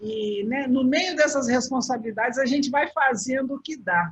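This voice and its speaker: Her high-pitched voice moving with lively intonation, a woman speaks at a moderate pace. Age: 60s. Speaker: travel agent. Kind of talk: interview.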